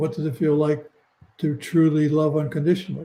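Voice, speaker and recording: At a moderate pace, a man talks in a fairly high voice, somewhat breathy, with a dark, mellow tone. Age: 80s+. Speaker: near-death experiencer. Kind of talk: interview. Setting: live video stream.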